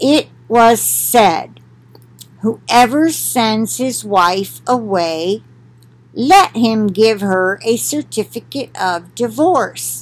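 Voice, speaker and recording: A woman speaks at a fairly high pitch. Her pace is very slow. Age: 60s. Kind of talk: Bible reading with commentary. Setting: recorded at home for video. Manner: conversational, with fillers. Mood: calm, conversational. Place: home room. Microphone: webcam.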